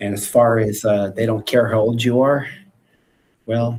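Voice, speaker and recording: Here a man speaks with an American accent in a fairly low voice. His pace is moderate. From France, then United States. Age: 60s. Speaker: preacher. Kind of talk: live video chat.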